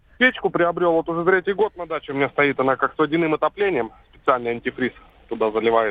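Intonation is lively as a man talks very fast. His pitch is fairly high. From Siberia. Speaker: caller. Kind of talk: phone-in call. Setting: phone call.

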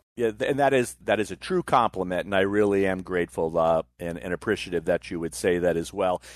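A man with an American accent speaks at a very fast pace and a very deep, low pitch, with hardly any pauses and ordinary pitch variation. The sound is dry and close with no echo, over a quiet background. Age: 50s. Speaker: wrestling podcast host, guest co-host. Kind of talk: casual chat.

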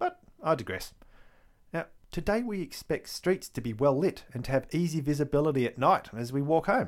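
A man with an Australian accent speaks in a fairly high voice, his intonation lively. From Victoria, Australia. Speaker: history podcaster. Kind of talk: scripted-style solo narration about history.

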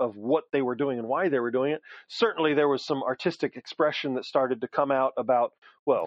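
Speaking at a fairly quick pace, a man with a medium pitch uses ordinary pitch variation in a dry, close sound with no echo.

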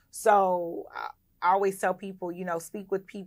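In an unremarkable speaking voice, a woman talks with fairly even intonation. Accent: American. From US South, Clayton County, Georgia. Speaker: hotel owner and investment platform CEO. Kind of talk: casual interview.

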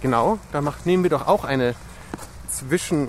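Against noticeable background noise, a man keeps a fairly slow pace and varies his pitch in an ordinary way. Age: 40s. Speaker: podcast host. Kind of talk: casual interview chat. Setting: outdoors walking in park in rain.

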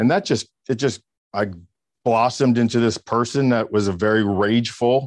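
Fairly even in intonation and medium in pitch, a man's voice comes through dry and close with no echo over a quiet background. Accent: American. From US South, Miami area, Florida. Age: 50s. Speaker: keynote speaker and real estate trainer. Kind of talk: interview.

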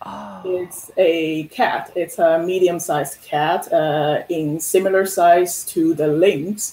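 Speaking at a very slow pace with hardly any pauses, the voice has a Chinese accent and noticeable background noise behind it. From China, Shanghai. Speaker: sculptor. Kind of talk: interview.

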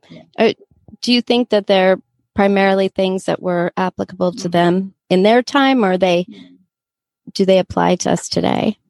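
In a plain, everyday voice of medium pitch, a woman speaks at a moderate pace with big swings in loudness, the sound dry and close with no echo. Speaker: podcast host. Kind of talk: casual chat.

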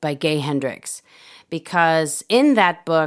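A woman with an ordinary speaking voice, fairly slow pace and lively intonation, on a very clean recording with a silent background. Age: 40s. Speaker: podcast host. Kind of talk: personal monologue. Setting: solo at a microphone.

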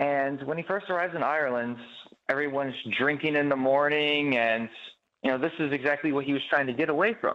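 Speaking at a fairly quick pace in a normal speaking voice, a man with an American accent holds a fairly high pitch and very even loudness. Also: fairly even intonation. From Chicago. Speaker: stage actor. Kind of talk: interview.

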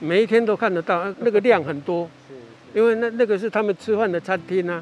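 This man's voice sits high, and he talks at a fairly quick pace. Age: 70s. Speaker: eco-tour guide. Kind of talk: guided nature walk explanation. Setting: outdoors.

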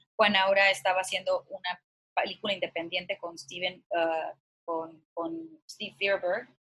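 A woman at medium pitch speaks fairly slowly in a bright, sharp tone, her intonation monotone and flat. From Mexico, Culiacán, Sinaloa. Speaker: actress and producer. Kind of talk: interview.

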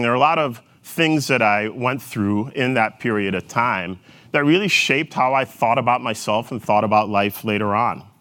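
A man with a Minnesotan accent, an energetic tone, a bright, sharp tone and a fairly quick pace. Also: medium pitch for a man, ordinary pitch variation. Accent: Minnesotan vowels, elongated O's. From rural Jamaica, Manchester Parish. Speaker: corporate executive. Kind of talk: keynote talk.

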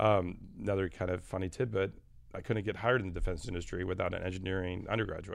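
A man's very deep, low voice with an American accent, very fast pace and fairly even intonation. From Michigan, US Midwest. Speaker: optics company executive. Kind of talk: interview. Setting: studio.

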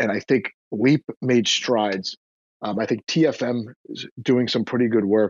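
At a fairly slow pace, a man with a plain, everyday voice keeps a medium pitch and fairly even intonation. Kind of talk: casual chat.

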